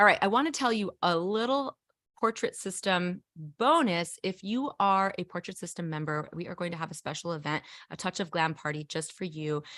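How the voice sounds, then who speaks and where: On a very clean recording with a silent background and a dry, close sound with no echo, a woman speaks in a fairly low pitch with a bright, sharp, animated tone and lively intonation. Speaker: photographer and livestream presenter. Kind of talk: live stream announcements. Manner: fast.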